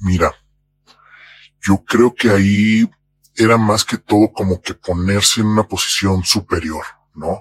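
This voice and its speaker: A man with a Mexican accent, fairly low pitch and fairly even intonation, at a fairly slow pace with long, frequent pauses, in a dry, close sound with no echo. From Mexico. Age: 40s. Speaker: anonymous interviewee. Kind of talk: testimony.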